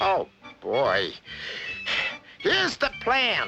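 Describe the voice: The speaker uses a cartoonish character voice. Faint music plays in the background.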